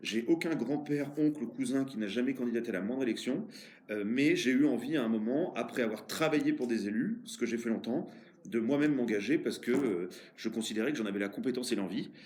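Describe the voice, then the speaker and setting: A man at medium pitch and a fairly quick pace, lively intonation, audible room echo. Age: 40s. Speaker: mayor. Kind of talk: interview. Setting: office. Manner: hesitant, many fillers.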